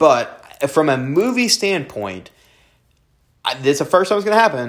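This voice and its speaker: Very wide pitch swings mark a man's fairly quick speech. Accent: Southern US. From US South. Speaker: film review podcast host. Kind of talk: casual chat.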